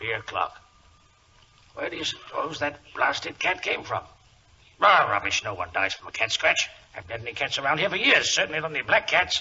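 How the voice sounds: Putting on a character voice, a man speaks at a fairly quick pace and medium pitch, his bright, sharp tone carrying a husky, rough edge as his pitch makes big swings.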